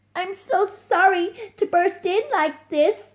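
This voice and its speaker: An extremely high-pitched put-on character voice, fairly slow in pace. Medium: read story. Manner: polite.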